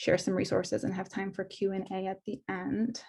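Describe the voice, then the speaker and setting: A woman's voice comes through somewhat breathy. The background is quiet. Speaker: school psychologist. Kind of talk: presentation. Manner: fast.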